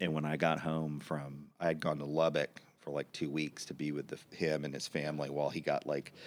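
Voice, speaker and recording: Very deep, low male voice with a Texan accent, monotone and flat in intonation, at a moderate pace. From Austin, Texas. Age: 40s. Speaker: advertising agency founder. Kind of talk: casual interview.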